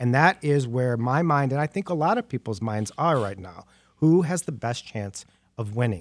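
A man with an ordinary speaking voice talks at a medium pitch and moderate pace with lively intonation, the sound dry and close with no echo in a very clean recording with a silent background. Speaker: community center director. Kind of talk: radio panel discussion.

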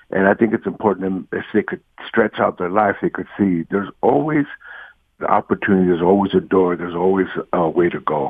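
A man with an American accent speaks at a fairly quick pace in a very deep, low voice, his intonation fairly even. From Los Angeles (Watts, East LA). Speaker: poet. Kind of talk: radio interview.

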